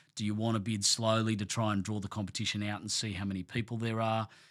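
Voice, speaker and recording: In a very clean recording with a silent background, a man with an Australian accent talks very fast at a medium pitch. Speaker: award-winning auctioneer. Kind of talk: podcast interview answer.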